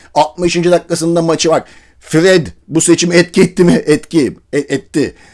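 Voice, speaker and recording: With a high pitch and an animated tone, a man speaks at a fairly slow pace. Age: 40s. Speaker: football commentator youtuber. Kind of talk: casual monologue.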